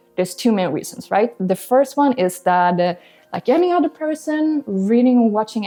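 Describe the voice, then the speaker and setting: Over music in the background, a woman with a Swedish accent speaks with very wide pitch swings. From Sweden. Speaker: language-learning YouTuber. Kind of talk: casual vlog talk.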